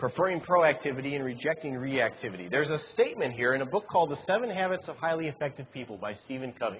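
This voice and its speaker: Speaking at a very fast pace with hardly any pauses, a man talks at a fairly high pitch. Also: lively intonation. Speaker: chapel speaker. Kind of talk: sermon.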